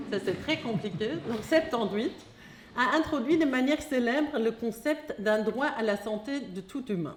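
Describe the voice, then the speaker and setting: With a German accent, a woman speaks at a fairly slow pace in a fairly high voice with lively intonation, against noticeable background noise. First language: German (speaking French). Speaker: philosopher of science. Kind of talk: lecture read from text. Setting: hall with audience. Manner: reading aloud.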